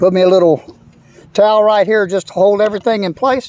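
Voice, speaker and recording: A man with a Texan accent and a high voice, relaxed in tone, at a moderate pace, with a dry, close sound and no echo. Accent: Texan Southern US. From US South, Texas (San Antonio). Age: 60s. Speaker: fishing video maker. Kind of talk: casual tutorial walkthrough. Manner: relaxed, hesitant with many fillers.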